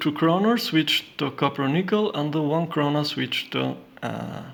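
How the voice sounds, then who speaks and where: Speaking with a non-native accent, a man uses a fairly high pitch with ordinary variation at a moderate pace. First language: not English. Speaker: coin and banknote collector. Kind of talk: casual collection showcase. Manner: halting, many fillers.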